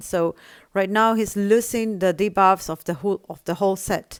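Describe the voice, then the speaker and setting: On a very clean recording with a silent background, a woman with a non-native accent speaks at a moderate pace, the sound dry and close with no echo. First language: not English. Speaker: gaming tutorial creator. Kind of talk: tutorial.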